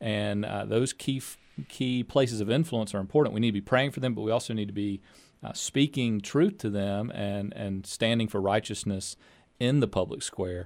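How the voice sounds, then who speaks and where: Here a man speaks at a moderate pace with a fairly low pitch and an unremarkable speaking voice. The recording is very clean, with a silent background. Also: ordinary pitch variation. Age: 30s. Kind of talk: interview. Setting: studio.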